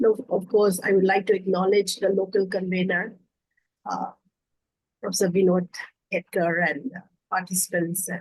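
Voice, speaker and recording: A woman with a medium pitch and a somewhat breathy voice speaks in a monotone, flat way with long, frequent pauses. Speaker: academic giving valedictory address. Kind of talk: formal valedictory speech. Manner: slow; hesitant with fillers.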